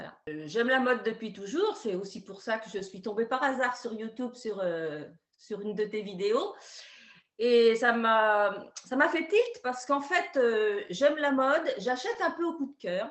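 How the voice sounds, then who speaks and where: Pitch swings very widely and loudness shifts a lot. The pace is fairly slow. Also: woman, fairly high pitch for a woman. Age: 60s. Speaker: retired schoolteacher giving a client testimonial. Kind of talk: testimony. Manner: hesitant, many fillers.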